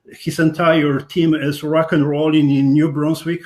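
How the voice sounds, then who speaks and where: A man with a Polish accent, fairly high in pitch, monotone and flat, at a moderate pace. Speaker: podcast host. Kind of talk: interview.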